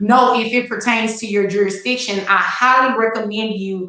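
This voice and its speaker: In a Texas accent, a woman with a fairly high pitch speaks at a moderate pace with fairly even intonation, and audible room echo is present. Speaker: attorney and legal educator. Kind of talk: live-stream legal talk. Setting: live stream.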